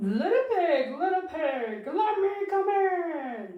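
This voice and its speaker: In a cartoonish character voice at an extremely high pitch, a woman speaks at a very slow pace with very wide pitch swings and slight echo. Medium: puppet.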